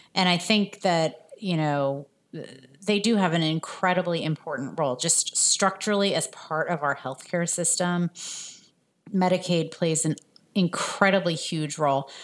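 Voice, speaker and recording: An ordinary speaking voice with an American accent. It moves at a fairly slow pace with ordinary pitch variation. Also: woman, fairly low pitch for a woman. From New Jersey suburbs. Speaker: health policy nonprofit leader. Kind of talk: interview.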